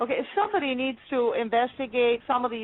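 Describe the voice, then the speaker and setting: Fairly quick and animated, a woman speaks in a fairly high voice. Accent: slight Spanish. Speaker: podcast host. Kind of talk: interview.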